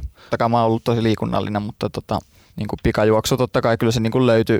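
Flat and monotone, a man speaks. His pace is very fast. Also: dry, close sound with no echo, very clean recording, silent background. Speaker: sprinter. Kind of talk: interview. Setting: studio. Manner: halting, many fillers.

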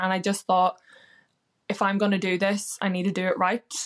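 A woman's medium-pitched, monotone voice with a Northern Irish accent and flat intonation, in a dry, close sound with no echo against a quiet background. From Northern Ireland. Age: 20s. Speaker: weight loss success story guest, hotel worker. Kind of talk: interview, personal story.

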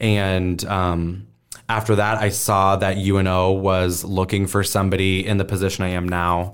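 A man with an American accent, very deep and low in pitch, monotone and flat in intonation, at a moderate pace. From US Midwest, Omaha, Nebraska. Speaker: teacher and STEM educator, stand-up comedian. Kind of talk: casual interview.

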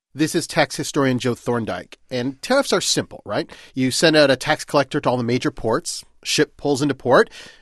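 A man talks at a moderate pace in a fairly high voice, with ordinary pitch variation and hardly any pauses. It is a plain, everyday voice, with a dry, close sound with no echo. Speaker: podcast host. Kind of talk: educational podcast narration. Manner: playful.

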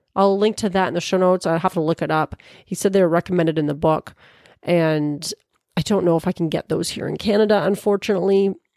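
The voice has a dark, mellow tone and moves at a very fast pace in a dry, close sound with no echo. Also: woman, fairly low pitch for a woman, fairly even intonation. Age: 40s. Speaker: podcast host. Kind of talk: casual chat.

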